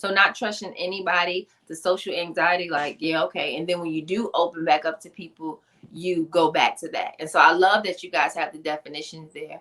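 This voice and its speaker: Fairly quick, monotone, flat speech with an American accent, hardly any pauses and big swings in loudness. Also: woman, fairly low pitch for a woman. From Queens, New York. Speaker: author and motivational speaker. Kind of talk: interview. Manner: fast.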